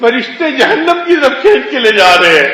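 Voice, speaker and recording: A man speaks in a raised, projected voice. Noticeable background noise sits behind him. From Pakistan. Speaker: Islamic scholar and Sufi shaykh. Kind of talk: Islamic religious sermon (bayan). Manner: explanatory, storytelling preaching style.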